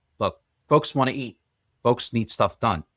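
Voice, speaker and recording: A man with medium pitch speaks at a moderate pace in an ordinary speaking voice. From US, child of Polish immigrants. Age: 40s. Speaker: business executive. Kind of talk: interview conversation.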